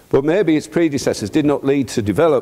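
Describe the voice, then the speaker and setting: With a dark, mellow tone and vocal fry, a man's pitch swings very widely. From North East England, County Durham. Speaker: poultry farmer and conference speaker. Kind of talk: conference talk with slides. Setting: stage with audience.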